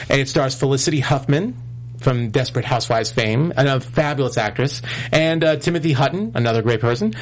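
A man speaks with an American accent at a fairly quick pace. He has a plain, everyday voice of medium pitch with ordinary pitch variation. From New York. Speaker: tv after-show host. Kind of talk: casual chat. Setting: studio.

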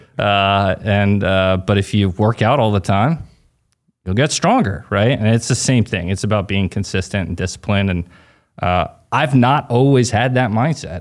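On a very clean recording with a silent background, a man uses a normal speaking voice. His pitch is fairly low and his pace moderate. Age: 30s. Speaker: real estate agent and investor. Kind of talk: casual interview chat.

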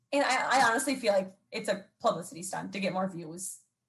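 A woman with lively intonation and a plain, everyday voice. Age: 20s. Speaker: social media commentator. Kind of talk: casual chat. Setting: video call.

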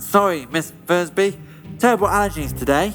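Over clear background music, a man does a nasal, put-on character voice at a moderate pace.

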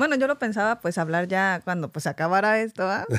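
A woman with a plain, everyday voice speaks at a moderate pace with lively intonation, on a very clean recording with a silent background and a dry, close sound with no echo. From Mexico. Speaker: doctor. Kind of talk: casual chat.

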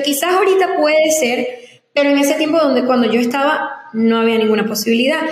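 A woman with a high pitch and ordinary pitch variation is heard amid noticeable background noise and audible room echo. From Venezuela, Zulia (Maracaibo area). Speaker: influencer and singer. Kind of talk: interview.

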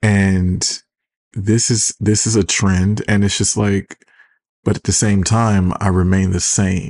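In a dry, close sound with no echo, a man speaks at a very slow pace and a fairly low pitch, his intonation monotone and flat and his loudness very even. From Detroit, US Midwest. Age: 30s. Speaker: podcast host. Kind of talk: casual solo podcast monologue. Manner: sarcastic, casual, chatty.

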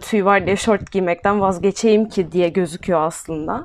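A woman speaks with a plain, everyday voice at a medium pitch and a fairly slow pace. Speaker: podcast co-host. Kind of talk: casual chat.

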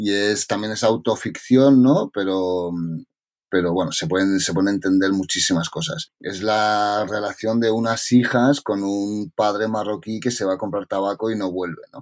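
In a normal speaking voice, a man talks at a fairly slow pace with a fairly low pitch and ordinary pitch variation, on a very clean recording with a silent background. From Catalonia, Spain (Tarragona). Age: 40s. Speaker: novelist. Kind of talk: interview.

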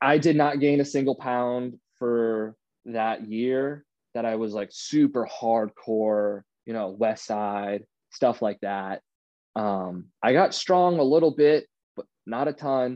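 A man with an American accent at a very slow pace, with ordinary pitch variation. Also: medium pitch for a man. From Northern Virginia, US. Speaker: college student and powerlifter. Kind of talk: podcast interview.

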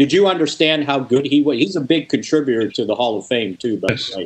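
A plain, everyday voice with an American accent, at a fairly quick pace. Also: man. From Chicago suburbs. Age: 60s. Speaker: sports journalist and podcast host. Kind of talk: casual interview.

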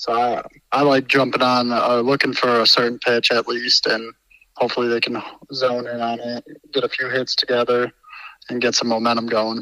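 In a dry, close recording with no echo, a man speaks at a moderate pace with a medium pitch and monotone, flat intonation. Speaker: baseball pitcher. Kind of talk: interview about a game.

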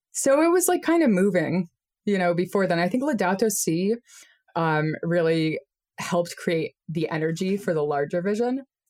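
In an American accent, a woman speaks with an ordinary speaking voice at a medium pitch. Her intonation is lively and her pace moderate. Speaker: geographer and nonprofit founder. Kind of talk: interview. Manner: casual, many fillers.

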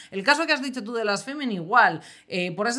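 A woman speaks in a fairly high pitch with a bright, sharp tone and lively intonation. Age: 30s. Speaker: podcast co-host. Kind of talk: casual chat. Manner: animated.

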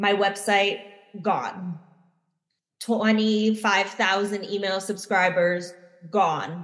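In an American accent, a woman speaks very slowly at a medium pitch. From United States. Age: 30s. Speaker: plant medicine facilitator and spiritual mentor. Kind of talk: interview conversation.

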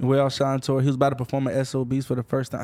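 On a very clean recording with a silent background, a man with an American accent speaks in a medium pitch with a dark, mellow tone. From Florida. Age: 30s. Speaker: music manager and rapper. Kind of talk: casual interview.

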